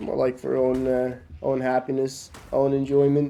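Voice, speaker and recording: A man's voice at medium pitch. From Norway. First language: Norwegian. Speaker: video game streamer. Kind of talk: casual chat. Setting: live stream. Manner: halting.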